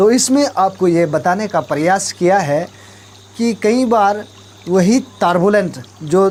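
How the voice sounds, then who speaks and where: Over noticeable background noise, a speaker with an Arunachal Pradesh accent uses ordinary pitch variation. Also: man. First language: Nyishi (speaking Hindi). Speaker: talk show host. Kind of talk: talk show explanation of proverbs.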